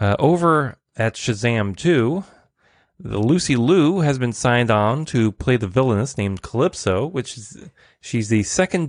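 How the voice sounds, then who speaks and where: At a moderate pace, a man speaks with a medium pitch and lively intonation. The sound is dry and close with no echo, and the background is quiet. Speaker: podcast host. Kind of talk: solo news roundup. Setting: home recording, streamed live. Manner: varied intonation.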